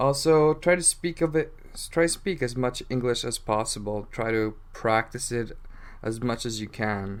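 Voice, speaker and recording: A man with a medium-pitched voice talks at a moderate pace with ordinary pitch variation on a very clean recording with a silent background. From England. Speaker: English teacher podcaster. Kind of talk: casual educational podcast monologue. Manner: casual, unedited with verbal fillers.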